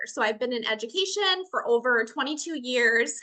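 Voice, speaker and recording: A woman with a Minnesotan accent speaks in a raised, projected voice at a moderate pace. Her pitch is high and her tone is bright and sharp. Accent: Minnesota. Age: 40s. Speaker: educator and online business owner. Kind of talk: testimony.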